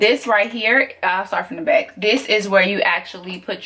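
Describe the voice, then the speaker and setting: A loud, medium-pitched woman's voice with a Southern US accent. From US South. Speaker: sewing tutor. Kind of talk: tutorial. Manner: casual.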